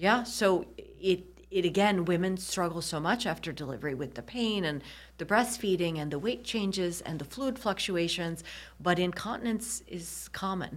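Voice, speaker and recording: A woman with an American accent in a normal speaking voice, medium pitch, lively intonation and a moderate pace. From US Midwest, Michigan. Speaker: urologist. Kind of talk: interview.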